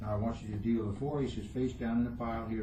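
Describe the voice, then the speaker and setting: Speaking at a very fast pace with fairly even intonation and a fairly low pitch, a man is heard over noticeable background noise with audible room echo. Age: 70s. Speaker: magician. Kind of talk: magic performance with patter.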